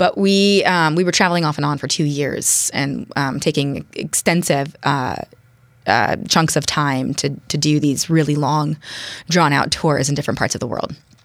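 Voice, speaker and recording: A woman with a very deep, low pitch talks at a moderate pace in an American accent. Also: ordinary pitch variation. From US West Coast, San Francisco East Bay. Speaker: city council candidate. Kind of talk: interview. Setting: studio.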